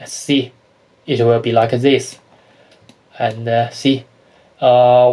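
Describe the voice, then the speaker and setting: The speaker has a non-native accent and a monotone, flat intonation at a very slow pace. Long, frequent pauses break the speech, and the loudness swings widely. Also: man, medium pitch for a man. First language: not English. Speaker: 3D animation tutorial maker. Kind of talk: software tutorial. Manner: halting, many filler uhs. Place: home room.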